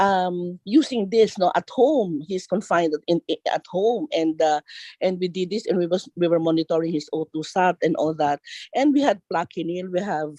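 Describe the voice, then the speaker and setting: A woman with a Filipino accent speaks at a moderate pace with fairly low pitch. Her pitch varies in an ordinary way, and the sound is dry and close with no echo. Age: 60s. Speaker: pediatrician. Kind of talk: panel discussion. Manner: halting.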